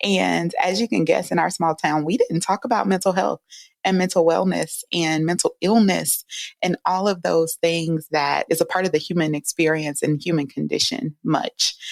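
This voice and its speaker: Soft-spoken and with a Southern US accent, a woman talks at a moderate pace and very even loudness in a dry, close, echo-free sound on a very clean recording with a silent background. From US South, rural Louisiana. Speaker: psychologist. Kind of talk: interview. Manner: calming.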